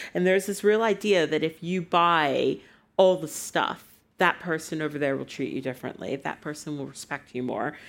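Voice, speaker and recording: In a very clean recording with a silent background, a woman with an American accent speaks at a moderate pace in a very deep, low voice with ordinary pitch variation. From United States. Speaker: writer. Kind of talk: live on-stage conversation. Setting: stage with audience.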